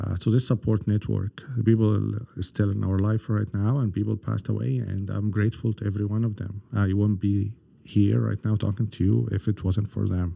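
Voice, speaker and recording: Fairly low in pitch, a man's voice carries a dark, mellow tone. He talks at a fairly quick pace with ordinary pitch variation. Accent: Arabic. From Egypt (Cairo). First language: Arabic. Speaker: government economic development director. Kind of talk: interview conversation. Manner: halting, many fillers.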